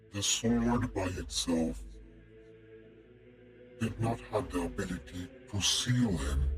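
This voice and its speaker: Putting on a character voice with a very deep, low pitch, a man talks fairly slowly with long, frequent pauses over clear background noise. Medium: actual play. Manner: measured, condescending.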